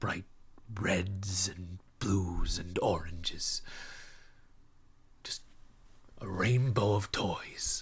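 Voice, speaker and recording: A man's put-on character voice, fairly low in pitch and fairly even in intonation, at a very slow pace with long, frequent pauses. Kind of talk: stage monologue. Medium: stage play. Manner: hesitant, reflective, halting repetitions.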